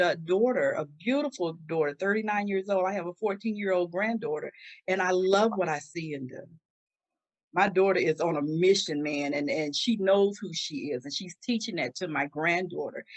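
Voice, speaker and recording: A woman with a plain, everyday voice talks at a moderate pace, her medium pitch carried by lively intonation. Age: 60s. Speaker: domestic violence survivor and author. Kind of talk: interview testimony.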